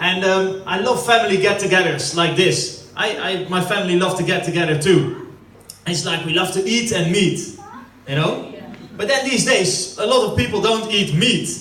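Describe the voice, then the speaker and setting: Someone with a Dutch accent speaks at a moderate pace with ordinary pitch variation, with audible room echo and noticeable background noise. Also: man, high pitch for a man. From Netherlands. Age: 30s. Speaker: stand-up comedian. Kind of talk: stand-up. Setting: stage with audience at family birthday party.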